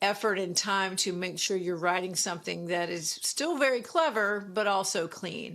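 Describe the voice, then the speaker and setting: A woman with an American accent and an unremarkable speaking voice, medium pitch, ordinary pitch variation, and a moderate pace, in a very clean recording with a silent background. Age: 60s. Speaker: comedian. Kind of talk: casual chat.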